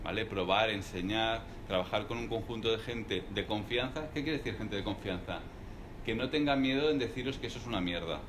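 Noticeable background noise sits behind this man as he speaks at a fairly quick pace with ordinary pitch variation. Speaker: serial entrepreneur; guest. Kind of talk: live talk interview before audience. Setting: room with live audience, no microphone. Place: meeting room. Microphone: speaking without microphone; camera far.

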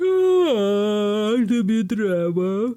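Someone performs a put-on character voice at a fairly high pitch. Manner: sleepy.

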